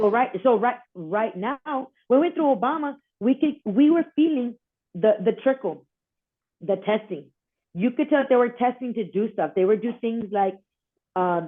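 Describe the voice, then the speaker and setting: A woman with an American accent, fairly high-pitched with lively intonation, at a moderate pace with long, frequent pauses. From South Texas. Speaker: border patrol wife, advocate. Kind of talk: interview answer. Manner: outspoken.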